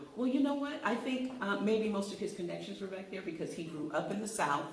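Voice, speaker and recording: Over noticeable background noise, a woman with an American accent talks at a fairly quick pace, medium in pitch, with lively intonation. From Los Angeles, California. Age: 60s. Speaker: author and acting coach. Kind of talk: interview. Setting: live radio interview.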